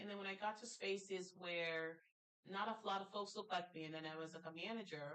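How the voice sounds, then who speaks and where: At a fairly quick pace, a woman of medium pitch speaks with a slight Jamaican accent. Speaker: talk show host. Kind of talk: casual interview chat. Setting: studio. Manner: animated.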